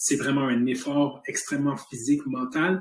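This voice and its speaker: A man's voice comes across somewhat breathy. It sits at a fairly high pitch. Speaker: health company entrepreneur. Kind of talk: motivational talk. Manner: fast; animated.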